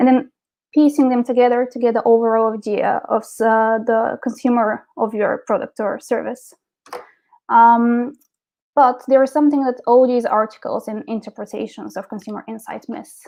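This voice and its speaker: A woman speaks with a Bulgarian accent at a moderate pace. Her high pitch follows a fairly even intonation. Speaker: marketing director. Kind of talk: presentation. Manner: hesitant, many fillers.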